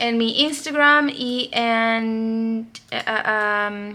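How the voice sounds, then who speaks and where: A woman speaks in a bright, sharp tone with ordinary pitch variation. The recording is very clean with a silent background. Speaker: crochet designer and vlogger. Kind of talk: casual vlog. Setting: at home. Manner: soft-spoken.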